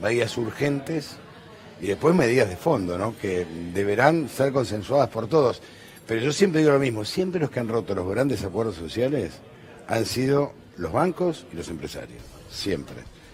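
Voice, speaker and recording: A man speaks at a moderate pace with very wide pitch swings. Noticeable background noise can be heard. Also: medium pitch for a man. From Argentina. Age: 60s. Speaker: TV news host. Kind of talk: TV panel discussion.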